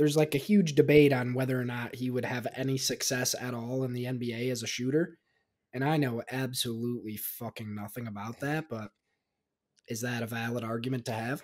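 Fairly quick and with fairly even intonation, a man speaks in a quiet background. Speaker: podcast co-host. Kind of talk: casual chat. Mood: relaxed, joking. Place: home room. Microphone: studio mic.

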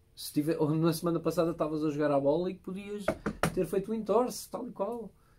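A man's high voice at a fairly quick pace, with noticeable background noise. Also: ordinary pitch variation. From Portugal. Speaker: podcast host. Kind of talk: interview. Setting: studio. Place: studio.

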